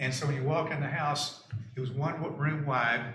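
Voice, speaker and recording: In a room with audible echo, a man with a Southern US accent speaks in a monotone, flat intonation. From US South. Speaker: neighbor testifying at public hearing. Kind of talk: testimony. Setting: town board meeting. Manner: halting, many fillers and restarts.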